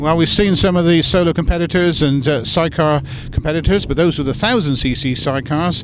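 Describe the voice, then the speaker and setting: Fairly high for a man, this voice moves at a fairly quick pace. Background noise is noticeable. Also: ordinary pitch variation. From West Country. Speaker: event interviewer. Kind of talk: interview.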